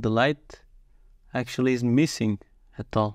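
A man speaks at a fairly slow pace with a medium pitch and a slightly mellow tone. His intonation stays fairly even, with vocal fry.

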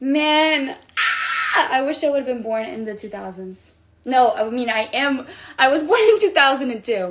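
Her pace fairly slow, a woman talks with ordinary pitch variation. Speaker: livestreamer. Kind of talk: casual livestream chat. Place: home room. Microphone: phone near.

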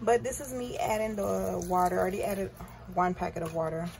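Fairly quick speech comes through over noticeable background noise. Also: woman. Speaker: home cook vlogger. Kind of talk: casual vlog chat. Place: kitchen. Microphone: phone near.

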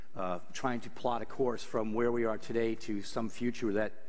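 Fairly even intonation marks this man's speech, delivered at a moderate pace. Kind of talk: lecture. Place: hall.

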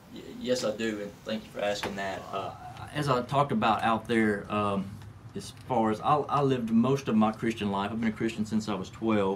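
Light background noise behind a man with a Southern US accent, medium pitch, fairly even intonation and a moderate pace. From Tennessee (Gallatin, near Nashville); Tennessee. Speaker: manufacturing executive; podcast guest. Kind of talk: interview. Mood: warm, reflective. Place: studio. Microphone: studio mic.

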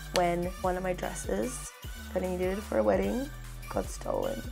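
A woman speaks in an upbeat tone at a moderate pace. Clear music plays in the background. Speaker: beauty vlogger. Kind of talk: casual chatty makeup talk to camera. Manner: chatty, upbeat.

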